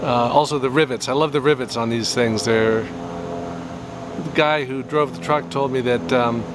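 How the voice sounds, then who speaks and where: Fairly slow, lively speech with an American accent over noticeable background noise. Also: man, medium pitch for a man. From US West Coast, Bay Area. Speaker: painter. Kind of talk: casual chat; tutorial.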